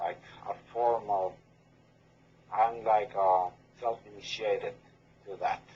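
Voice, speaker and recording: A man with a fairly low pitch and a dark, mellow tone talks at a very slow pace, somewhat breathy. His intonation is monotone and flat, broken by long, frequent pauses. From Dominican Republic. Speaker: left-hand path practitioner. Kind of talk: podcast interview. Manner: halting.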